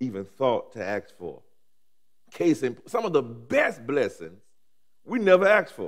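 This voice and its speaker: A man with an American accent and a warm tone speaks at a fairly slow pace against a quiet background. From Alabama, US South. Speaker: pastor. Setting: seminary chapel with audience. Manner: rhythmic, repetitive preaching cadence with rising emphasis; warm, humorous asides with laughter. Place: church. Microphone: headset.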